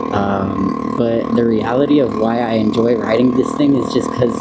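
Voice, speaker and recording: A man speaks at a moderate pace and a medium pitch. Audible room echo and noticeable background noise fill the recording. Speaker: YouTube vlogger. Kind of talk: casual vlog. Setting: outdoors, riding a small motorbike. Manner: halting.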